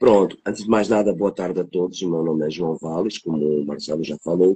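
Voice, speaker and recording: With a European Portuguese accent, the voice has a dark, mellow tone and ordinary pitch variation, captured dry and close with no echo. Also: man, very deep, low pitch for a man, fairly quick pace. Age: 50s. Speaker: technician. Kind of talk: interview testimony. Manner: halting.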